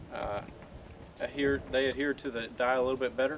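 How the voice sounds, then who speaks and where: A man with a Southern US accent speaks at a fairly quick pace and a medium pitch. There is noticeable background noise. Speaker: car detailer. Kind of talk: tutorial. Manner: fast.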